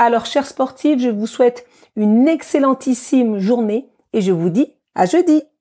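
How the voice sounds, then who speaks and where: A dark, mellow tone with lively intonation unfolds at a fairly slow pace, in a dry, close sound with no echo and a very clean recording with a silent background. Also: woman. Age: 40s. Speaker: fitness coach and podcast host. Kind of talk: podcast monologue introduction.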